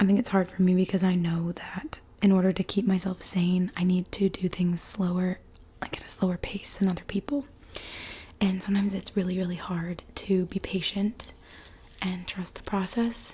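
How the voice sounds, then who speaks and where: At a moderate pace and in a calm tone, the speaker talks over noticeable background noise. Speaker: ASMR creator. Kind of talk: ASMR soft-spoken ramble. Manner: soft-spoken, calm, confiding.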